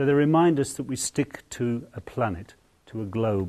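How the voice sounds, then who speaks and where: A man with an English accent speaks in a dark, mellow tone. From England. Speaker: artist. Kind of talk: tutorial. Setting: outdoors. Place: hall. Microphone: lapel.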